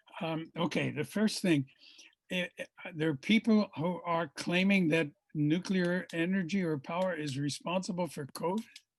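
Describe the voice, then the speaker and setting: A man with an American accent speaks at a moderate pace in a high pitch, with ordinary pitch variation and a dry, close sound with no echo. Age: 80s+. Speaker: physics professor. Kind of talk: lecture Q&A. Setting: video call.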